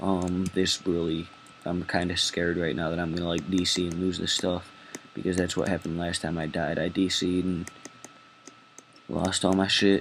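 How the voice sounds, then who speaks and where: Speaking in a monotone, flat intonation, a man's voice sits at a very deep, low pitch. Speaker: gaming video creator. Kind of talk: gameplay commentary. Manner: fast.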